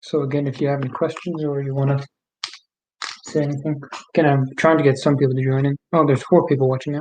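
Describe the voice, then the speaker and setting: The speech comes at a very fast pace. It is broken by long, frequent pauses. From Ireland (Wexford). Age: young. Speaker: streamer. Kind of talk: casual live stream chat.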